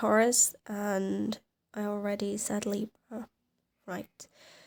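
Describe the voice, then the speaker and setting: The recording is dry and close, without any echo. The speaker is a woman. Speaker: tarot reader. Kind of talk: tarot reading.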